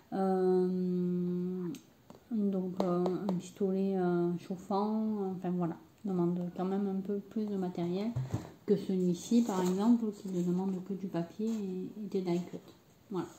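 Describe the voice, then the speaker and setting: Against noticeable background noise, a woman with a medium pitch speaks very slowly in a flat monotone. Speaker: crafting youtuber. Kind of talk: tutorial. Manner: hesitant, many fillers.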